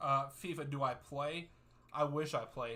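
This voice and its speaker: A man with an American accent, a fairly high pitch, a bright, sharp tone, fairly even intonation and a fairly slow pace. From US, West Virginia. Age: 30s. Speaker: soccer YouTuber and streamer. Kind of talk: live watchalong chat with viewers.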